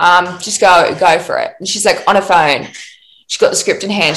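A woman with an Australian accent speaks at a moderate pace with lively intonation. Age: 20s. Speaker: actor and playwright. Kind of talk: casual interview chat.

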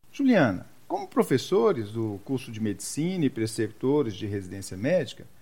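A man's pitch rises and falls very widely while he keeps a moderate pace. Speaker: intensive care physician and medical professor, podcast host. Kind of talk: scripted podcast trailer.

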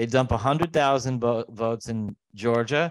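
With a normal speaking voice, a man talks at a moderate pace and ordinary pitch variation, the sound dry and close with no echo over a quiet background. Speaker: podcast host. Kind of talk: casual political chat.

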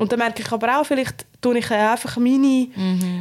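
Ordinary pitch movement at a fairly quick speed. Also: woman. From Switzerland. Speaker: podcast co-host. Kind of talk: casual chat.

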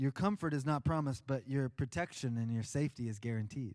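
A man's warm-toned voice, fairly high in pitch, with ordinary pitch variation. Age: 40s. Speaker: pastor. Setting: church sanctuary with congregation and speakers. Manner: warm, earnest pulpit delivery with rising urgency on exhortations; animated, with casual fillers and self-repetitions.

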